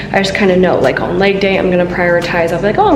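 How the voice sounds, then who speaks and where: A woman talks while clear music can be heard in the background. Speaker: fitness vlogger. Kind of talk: casual vlog chat. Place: gym. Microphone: phone near.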